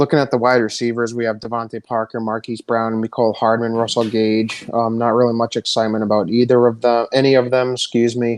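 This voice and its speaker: A man speaks at a medium pitch in a flat, monotone delivery. He talks very fast with hardly any pauses. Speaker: fantasy football podcaster. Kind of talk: casual mock draft discussion.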